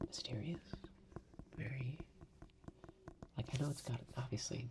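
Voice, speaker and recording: At a fairly slow pace, this speaker's delivery is soft-spoken. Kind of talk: casual talk to camera. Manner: soft-spoken, slow.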